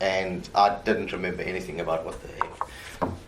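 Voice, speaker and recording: A man speaks at a moderate pace with a fairly low pitch. Room echo is audible. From South Africa. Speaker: murder suspect. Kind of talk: police interrogation.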